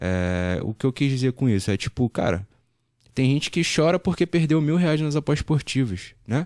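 Against a quiet background, a man talks at a moderate pace with very wide pitch swings and very even loudness, the sound dry with no echo. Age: 20s. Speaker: sports betting tipster, former marine; podcast guest. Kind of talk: podcast interview. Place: studio. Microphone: studio mic.

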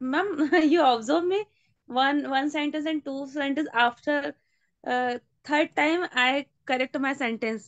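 A woman's high-pitched voice at a fairly slow pace, with ordinary pitch variation and a quiet background. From India. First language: Hindi. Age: 20s. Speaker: English learner. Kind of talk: language class practice. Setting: video call. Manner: halting. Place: home room. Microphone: video call.

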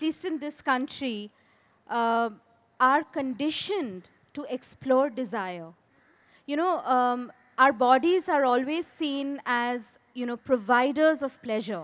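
With lively intonation and a high pitch, a woman talks at a fairly slow pace. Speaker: author; panelist. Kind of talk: panel discussion. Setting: stage with audience. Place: stage. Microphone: handheld.

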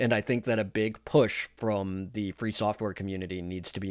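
A man with a plain, everyday voice, fairly low in pitch, at a moderate pace with fairly even intonation, on a very clean recording with a silent background. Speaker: tech YouTuber. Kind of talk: casual commentary video.

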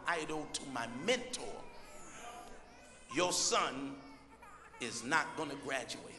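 There is noticeable background noise behind a man with an American accent. He talks at a fairly slow pace with very wide pitch swings. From Brooklyn, New York. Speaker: preacher. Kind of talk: sermon. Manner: excited, intense. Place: church. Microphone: handheld.

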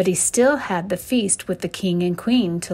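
This unforced reading voice moves through an ordinary range of pitch.

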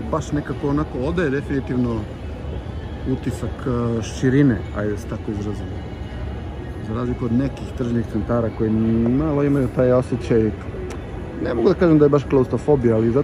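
With faint music in the background, a man talks at a very fast pace with ordinary pitch variation. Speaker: walking vlogger. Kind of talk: casual walking commentary. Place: hall. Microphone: phone near.

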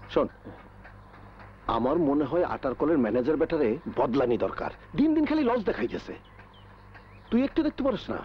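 A man's gruff, put-on character voice, fairly high in pitch with very wide pitch swings, at a moderate pace over clear background noise. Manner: commanding, gruff.

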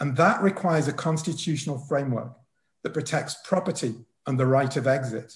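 A somewhat breathy man speaks at a moderate pace with ordinary pitch variation. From northern England, Wigan. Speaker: political economy professor, discussant. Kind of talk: prepared academic response.

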